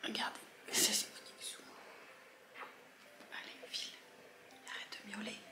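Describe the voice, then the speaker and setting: A woman whispers at a fairly slow pace with long, frequent pauses and big swings in loudness, amid noticeable background noise and audible room echo. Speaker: vlogger. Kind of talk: casual vlog. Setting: at home in the morning. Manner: speaks softly; hesitant, many fillers.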